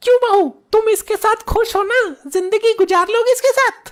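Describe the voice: In a squeaky, cartoonish character voice, the speaker holds very even loudness at a moderate pace. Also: woman, extremely high pitch for a woman.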